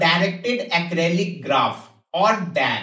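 A man speaks with a high pitch and ordinary pitch variation. The background is quiet, with audible room echo. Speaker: tech educator. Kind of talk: tutorial. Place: home room.

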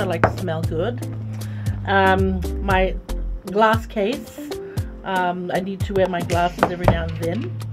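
A woman speaks at a fairly slow pace with clear music in the background. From Fiji. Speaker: radio and television broadcaster, commercial voice. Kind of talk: casual talk to camera, what's in my bag segment. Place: studio.

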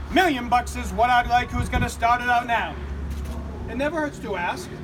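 A man speaks in a raised, projected voice at an extremely high pitch. He keeps a moderate pace, with noticeable background noise. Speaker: auctioneer. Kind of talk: casual opening patter to a crowd, humorous. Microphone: camera far.

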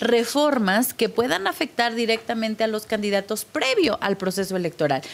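A woman's voice with lively intonation. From Mexico. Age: 30s. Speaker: politician. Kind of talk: televised debate. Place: studio. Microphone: studio mic.

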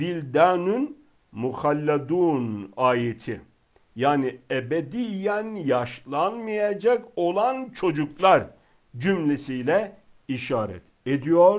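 Over a quiet background, a man speaks at a very slow pace with very wide pitch swings and big swings in loudness. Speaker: religious teacher. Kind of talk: religious lecture. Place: home room.

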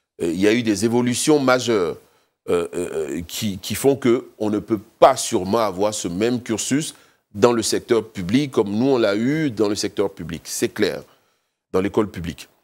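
With ordinary pitch variation, a man talks at a fairly slow pace. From Côte d'Ivoire, Abidjan; Côte d'Ivoire. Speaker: business executive; interviewee. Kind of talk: TV interview. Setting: TV studio. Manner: halting, many repetitions. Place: studio. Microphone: lapel.

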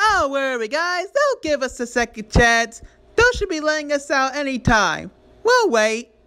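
A put-on character voice is used here, pitched high. The pace is moderate. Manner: dopey, cheerful.

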